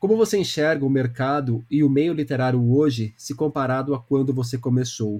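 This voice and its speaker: This man talks at a moderate pace in a medium-pitched voice with a dark, mellow tone and ordinary pitch variation. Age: 30s. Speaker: podcast host and book columnist. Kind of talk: interview.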